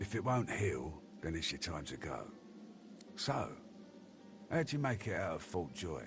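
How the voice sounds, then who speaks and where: A man puts on a gruff character voice, fairly low in pitch with very wide swings up and down. He talks at a moderate pace with long, frequent pauses, over clear background noise. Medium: video game. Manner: gruff, crude, streetwise slang.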